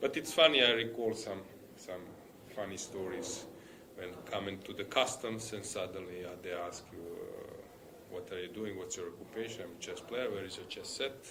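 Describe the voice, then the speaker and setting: At a moderate pace with ordinary pitch variation, the voice swings widely in loudness amid audible room echo and noticeable background noise. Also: man, medium pitch for a man. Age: 60s. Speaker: chess commentator and player. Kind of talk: live commentary. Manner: halting.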